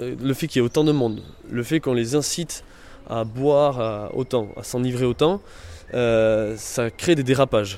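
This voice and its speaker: Someone speaks at a fairly slow pace with ordinary pitch variation. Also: man. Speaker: youth association member. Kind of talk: interview. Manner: halting, many hesitations.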